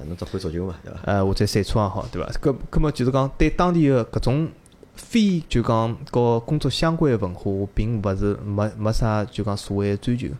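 His pitch shows ordinary variation. The man uses a normal speaking voice and moves at a fairly quick pace. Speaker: Chinese emigrant to New Zealand. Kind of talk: casual chat.

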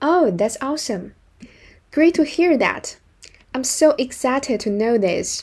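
A woman with a Chinese accent, high-pitched and fairly slow, with lively intonation and long, frequent pauses. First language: Mandarin Chinese. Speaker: business English teacher. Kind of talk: tutorial. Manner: slow, clear phrase-by-phrase reading.

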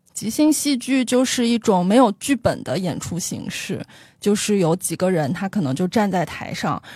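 A woman's somewhat breathy voice of dark, mellow tone, with very wide pitch swings, in a dry, close sound with no echo on a very clean recording with a silent background. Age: 30s. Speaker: tour leader with a consumer-research day job. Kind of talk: interview conversation.

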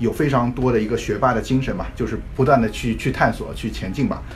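Audible room echo surrounds a man speaking at a fairly quick pace. Noticeable background noise is present as well. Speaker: podcast co-host. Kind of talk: casual chat.

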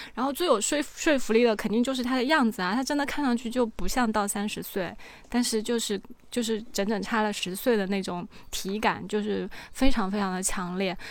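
At a fairly quick pace, a woman with a fairly high pitch talks in an unremarkable speaking voice, with ordinary pitch variation. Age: 30s. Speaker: cosmetic treatment enthusiast. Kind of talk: casual chat.

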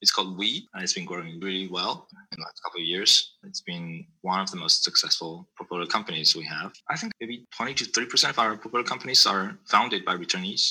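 With a Chinese accent, a man talks at a fairly quick pace with hardly any pauses and big swings in loudness. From China. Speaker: venture capital investor. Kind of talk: interview. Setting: remote call.

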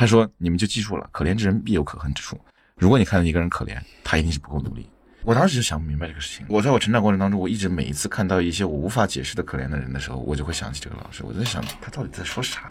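Racing at a very fast pace, a man with a very deep, low pitch and vocal fry swings very widely in pitch. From Chengdu. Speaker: podcast producer. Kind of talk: interview conversation.

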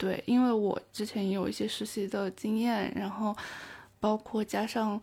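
Her voice is fairly high-pitched, somewhat breathy, and dark and mellow in tone. The woman speaks at a fairly slow pace with monotone, flat intonation. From China, Taiyuan, Shanxi. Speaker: overseas graduate student. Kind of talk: interview conversation.

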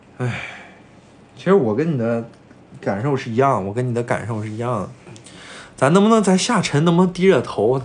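With audible room echo, a man speaks fairly quickly at medium pitch, using very wide pitch swings and long, frequent pauses. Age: 20s. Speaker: podcast co-host. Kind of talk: casual chat.

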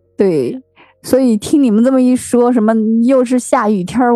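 Moderate-paced speech from a woman, ordinary in its pitch variation. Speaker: podcast host. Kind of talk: casual chat.

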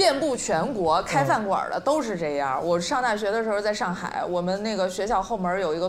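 Over noticeable background noise, a woman with a medium pitch talks at a fairly quick pace with lively intonation. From Shenyang, Liaoning. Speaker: guest panelist. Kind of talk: casual panel chat. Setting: stage with live audience.

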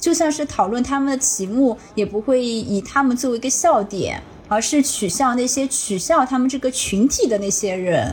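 At a moderate pace with hardly any pauses, the voice shows ordinary pitch variation over noticeable background noise. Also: woman, high pitch for a woman. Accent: strong Shanghai. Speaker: podcast host and ICU doctor. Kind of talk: casual chat.

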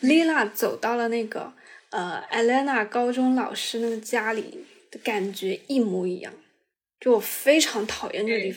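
A woman with a plain, everyday voice speaks at a fairly slow pace and a fairly high pitch, with lively intonation. Her loudness swings widely, and the recording is very clean with a silent background. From southern China. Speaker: podcast co-host. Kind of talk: casual chat.

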